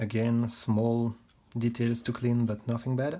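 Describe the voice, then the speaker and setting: Speaking at a very slow pace, the man has a non-native accent. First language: not English. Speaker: model kit reviewer. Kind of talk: product review tutorial. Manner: halting.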